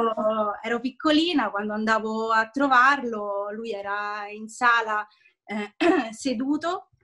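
A woman's fairly high, bright, sharp voice at a very slow pace, with ordinary pitch variation, big swings in loudness and a quiet background. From Italy. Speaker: voice actor. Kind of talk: interview answer. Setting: video call. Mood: warm, nostalgic storytelling. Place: home room. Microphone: video call.

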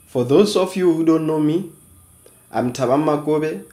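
Amid audible room echo, a man speaks at a moderate pace in a dark, mellow tone with ordinary pitch variation. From South Africa, Free State. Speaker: online educator, channel founder; online educator. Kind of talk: tutorial. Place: home room.

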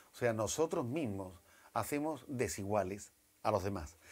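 A man speaks with lively intonation. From Jerez de la Frontera, Andalusia, Spain; Andalusia, Spain. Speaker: NGO volunteer and president; guest. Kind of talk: TV interview. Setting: TV studio. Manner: halting with repetitions. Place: studio. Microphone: lapel.

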